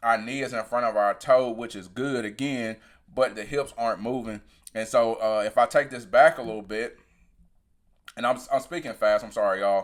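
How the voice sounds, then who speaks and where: The recording is very clean with a silent background, and the man's voice sits at a medium pitch. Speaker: sprint coach. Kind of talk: technical video breakdown. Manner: fast.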